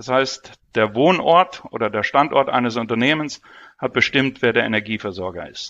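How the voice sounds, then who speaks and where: Against a quiet background, a man talks at a fairly slow pace in a bright, sharp tone. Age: 50s. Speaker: energy exchange CEO. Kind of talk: interview.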